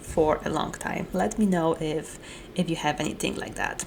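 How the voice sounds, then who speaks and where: A woman speaks with a Polish accent over noticeable background noise. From Poland. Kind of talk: casual talk to camera.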